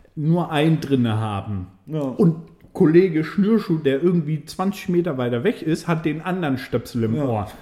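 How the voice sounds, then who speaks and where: With hardly any pauses, a man talks at a fairly high pitch for a man, his tone dark and mellow and his intonation lively. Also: moderate pace. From Swabia, Germany. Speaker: podcast co-host, restaurant server. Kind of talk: casual chat. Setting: studio, in person.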